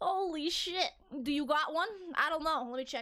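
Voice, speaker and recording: In a Boston accent, the voice is raised and projected, with a bright, sharp tone. It sounds animated, with lively intonation. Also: woman. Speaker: VTuber streamer. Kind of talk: casual live stream chat.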